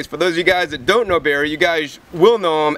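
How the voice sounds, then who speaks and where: Noticeable background noise sits behind a man's voice. He talks at a fairly quick pace with a high pitch. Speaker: raw food channel host. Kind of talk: casual talk to camera introducing an interview. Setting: outdoors.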